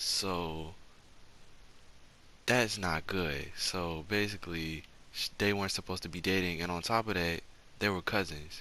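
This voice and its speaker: A soft-spoken man talks at a fairly slow pace with fairly even intonation. His pitch is very deep and low, yet his tone is bright and sharp. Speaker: storytime youtuber. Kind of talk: storytime monologue. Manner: soft-spoken, talking low; casual, slangy.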